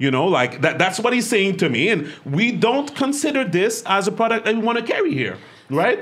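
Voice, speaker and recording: Animated and in a Quebec accent, the voice moves at a moderate pace with very wide pitch swings and very even loudness over noticeable background noise. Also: man, high pitch for a man. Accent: Québécois French-accented English. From Quebec, Montreal. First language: French. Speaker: podcast host and business owner. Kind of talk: casual chat. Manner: animated, laughs often.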